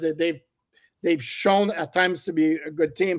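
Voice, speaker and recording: A man's high voice with fairly even intonation at a moderate pace. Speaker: football podcast panelist. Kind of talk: casual sports discussion.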